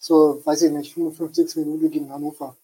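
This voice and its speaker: Pitched high for a man, his voice has a dark, mellow tone and a monotone, flat intonation at a moderate pace. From Hamburg, northern Germany. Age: 20s. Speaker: football fan, prediction game winner. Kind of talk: casual chat. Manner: halting, many fillers.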